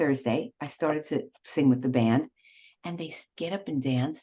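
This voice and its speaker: In a New York accent, a woman speaks with a dark, mellow tone. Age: 70s. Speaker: retired professor and cabaret singer. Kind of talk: casual interview chat. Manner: animated.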